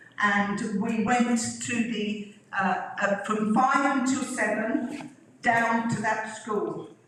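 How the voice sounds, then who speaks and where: A woman speaks in a fairly high voice. Audible room echo surrounds her. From England, Flitwick, Bedfordshire. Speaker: local resident sharing memories. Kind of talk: reminiscence talk with photos. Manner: hesitant, many fillers.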